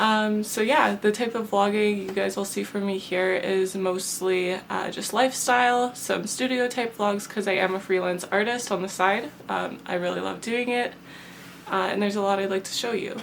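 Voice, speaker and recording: A woman's voice with a Canadian accent, over noticeable background noise. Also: medium pitch for a woman, fairly even intonation, moderate pace. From southern Manitoba, Canada. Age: 20s. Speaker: vlogger and freelance artist. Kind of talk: casual vlog talk to camera. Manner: hesitant, many fillers.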